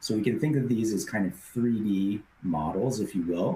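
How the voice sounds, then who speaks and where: With a dark, mellow tone and a somewhat breathy quality, a man speaks at a fairly slow pace, his fairly low pitch carried by lively intonation. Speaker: software product presenter. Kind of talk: webinar software demo. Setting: online webinar. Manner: hesitant fillers.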